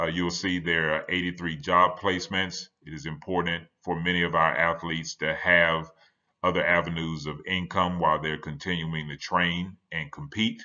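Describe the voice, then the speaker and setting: A man speaks in a very deep, low voice with flat, monotone intonation. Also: moderate pace, quiet background. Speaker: conference presenter. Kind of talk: lecture. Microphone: webcam.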